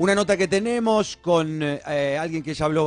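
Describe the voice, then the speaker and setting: A man with a normal speaking voice and a fairly high pitch. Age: 40s. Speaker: radio host. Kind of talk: radio interview. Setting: studio.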